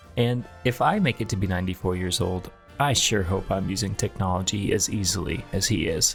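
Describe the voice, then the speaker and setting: Music plays in the background as a man speaks. His pitch is very deep and low, and his loudness stays very even. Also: ordinary pitch variation, fairly quick pace. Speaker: roofing company host. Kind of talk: video narration.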